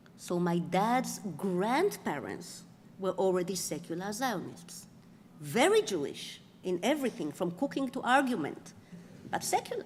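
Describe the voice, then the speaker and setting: Somewhat breathy and medium in pitch, a woman with an Israeli accent speaks at a fairly slow pace with lively intonation. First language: Hebrew. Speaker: author and professor. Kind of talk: lecture.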